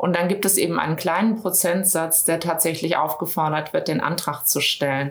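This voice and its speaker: In a normal speaking voice, a woman talks at a moderate pace with a fairly low pitch. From Düsseldorf, western Germany. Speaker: business consultant. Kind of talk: interview. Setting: studio, in person.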